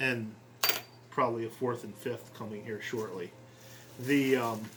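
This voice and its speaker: Audible room echo and noticeable background noise surround a man's voice. His medium pitch holds fairly even intonation at a fairly slow pace. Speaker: scale model hobbyist. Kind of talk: unboxing video. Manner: hesitant, many ums.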